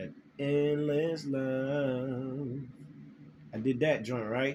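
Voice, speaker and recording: A man with a medium pitch speaks in a flat, monotone way, with audible echo from the room. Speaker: spiritual vlogger. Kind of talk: casual monologue to camera, recounting a dream. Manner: halting, many repetitions and fillers.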